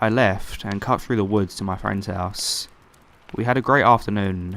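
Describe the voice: Ordinary pitch variation across plain reading aloud.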